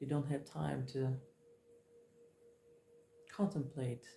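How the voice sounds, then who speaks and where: Very slow and fairly even in intonation, a woman's very deep, low voice carries vocal fry and a dark, mellow tone. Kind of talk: tarot card reading. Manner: mellow, slow-paced; calm, reflective.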